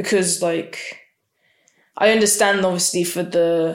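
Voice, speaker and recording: A plain, everyday voice with ordinary pitch variation. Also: woman. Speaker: podcast co-host. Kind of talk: casual chat.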